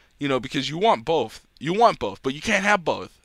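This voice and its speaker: A man with an American accent talks at a moderate pace in a fairly high pitch, his tone animated and his intonation lively. The recording is very clean, with a silent background. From New Jersey. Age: 20s. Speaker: gaming video host. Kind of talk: casual chat. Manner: halting.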